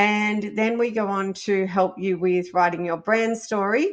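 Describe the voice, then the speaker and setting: With a fairly high pitch, a woman speaks at a very slow pace against a quiet background. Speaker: business podcast host. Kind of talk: solo podcast monologue.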